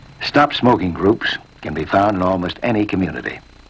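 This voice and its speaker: Amid noticeable background noise, a man with a very deep, low pitch speaks at a moderate pace with lively intonation. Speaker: narrator. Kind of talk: educational film narration.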